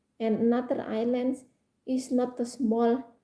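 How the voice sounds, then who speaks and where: A woman's high-pitched voice with a dark, mellow tone at a fairly slow pace. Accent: Indonesian. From Indonesia, Java. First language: Indonesian. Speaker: live streamer. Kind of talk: casual chat. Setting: live stream. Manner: halting.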